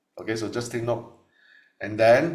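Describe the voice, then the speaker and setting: The voice is somewhat breathy. Audible room echo can be heard. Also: man. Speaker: tax lecturer. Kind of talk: lecture.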